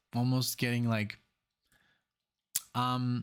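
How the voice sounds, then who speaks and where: A man speaks fairly slowly with a German accent. The recording is very clean, with a silent background. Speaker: music reaction youtuber. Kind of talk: casual music reaction commentary. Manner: halting, many fillers and restarts.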